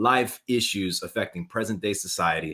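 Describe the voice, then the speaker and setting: A man talks at a moderate pace in an ordinary speaking voice. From US South, New Orleans area. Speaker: talk show host, former Spanish teacher. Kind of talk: live talk show interview. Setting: live stream.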